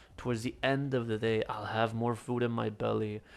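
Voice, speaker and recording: A man at medium pitch and moderate pace, flat and monotone in intonation. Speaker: fitness vlogger. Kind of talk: casual voiceover commentary on workout footage. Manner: mumbling, hesitant with fillers.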